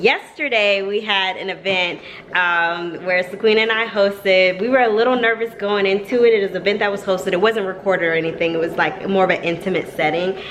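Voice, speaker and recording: The speech moves at a fairly quick pace with hardly any pauses and fairly even intonation, over noticeable background noise. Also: woman, medium pitch for a woman. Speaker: family vlogger. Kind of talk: casual vlog chat. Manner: fast; chatty.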